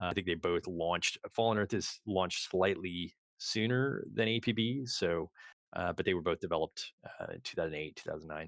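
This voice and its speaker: Recorded very cleanly against a silent background, with a dry, close sound and no echo, a man with a very deep, low pitch speaks at a fairly quick pace. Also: ordinary pitch variation. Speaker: game studio executive. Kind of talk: live stream Q&A. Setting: live stream. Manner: fast; halting.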